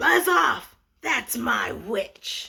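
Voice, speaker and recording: Put-on character voice, growling, croaky and shrill all at once. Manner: gruff, dismissive.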